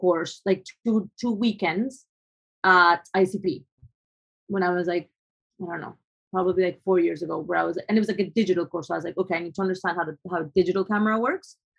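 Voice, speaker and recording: A woman with a Spanish accent, medium pitch and fairly even intonation. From Colombia. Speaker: photographer. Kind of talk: interview. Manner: halting, many fillers.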